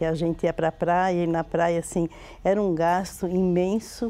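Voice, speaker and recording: A woman talks in a fairly low pitch with a dark, mellow tone. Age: 70s. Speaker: church member giving testimony. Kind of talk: testimony.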